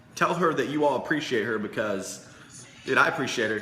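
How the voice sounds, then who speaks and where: With music in the background and audible room echo, a man speaks in an animated tone with lively intonation. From Indianapolis, US Midwest. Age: 20s. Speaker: sales coach livestreamer. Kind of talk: casual livestream sales pitch.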